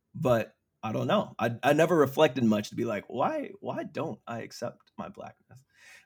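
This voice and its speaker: Somewhat breathy and medium in pitch, a man talks at a moderate pace with lively intonation and big swings in loudness. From small town, US. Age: 30s. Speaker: podcast guest. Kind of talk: casual chat.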